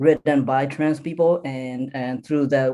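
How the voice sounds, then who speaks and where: A man speaks at a medium pitch with an American accent. His tone is dark and mellow, and his pace is fairly slow. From California. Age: 20s. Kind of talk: panel discussion. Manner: halting, many fillers.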